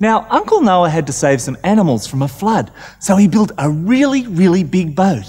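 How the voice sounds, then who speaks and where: A somewhat breathy male voice at a moderate pace, with very wide pitch swings. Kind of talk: storytelling to children. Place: studio. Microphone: lapel.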